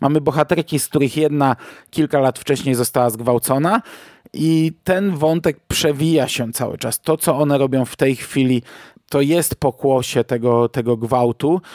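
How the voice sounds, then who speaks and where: A plain, everyday voice from a man, fairly high in pitch with ordinary pitch variation, at a moderate pace, dry and close with no echo. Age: 40s. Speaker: podcast host, film reviewer. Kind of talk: solo film review podcast.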